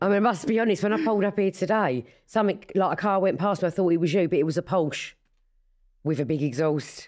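With lively intonation and a medium pitch, a woman talks at a very fast pace over a quiet background. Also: very even loudness. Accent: Essex. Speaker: podcast co-host, mother of the other hosts. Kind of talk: casual chat.

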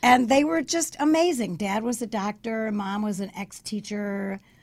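A woman's fairly high, somewhat breathy voice at a fairly slow pace, with ordinary pitch variation, on a very clean recording with a silent background. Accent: American. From Chicago, US. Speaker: speech coach and author. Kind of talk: radio interview, storytelling. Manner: animated, energetic.

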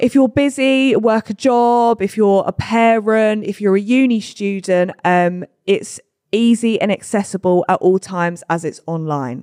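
Recorded dry and close with no echo, a woman speaks in a plain, everyday voice at medium pitch with ordinary pitch variation. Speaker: podcast host. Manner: casual, swears often.

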